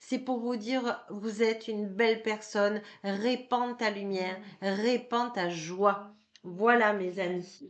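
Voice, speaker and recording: Very slow and fairly even in intonation, this woman's speech sits at a fairly high pitch. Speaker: card reader and energy healer. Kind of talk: tarot card reading. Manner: hesitant, many filler sounds.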